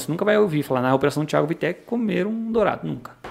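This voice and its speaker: The delivery is very fast, with very wide pitch swings. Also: man. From Paraná, Brazil (Pinhão). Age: 30s. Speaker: sport fisherman and fishing guide. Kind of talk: podcast interview. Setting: studio.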